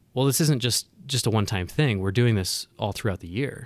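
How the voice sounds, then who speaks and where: A medium-pitched man with an American accent and ordinary pitch variation, on a very clean recording with a silent background. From US West, Northern California. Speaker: consultant. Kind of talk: casual interview. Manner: halting, with frequent repetitions.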